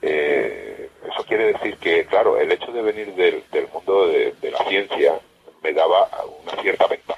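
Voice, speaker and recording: A man talks fairly slowly while noticeable background noise fills the recording. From Extremadura, Spain. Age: 50s. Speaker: science radio presenter. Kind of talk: interview. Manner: halting.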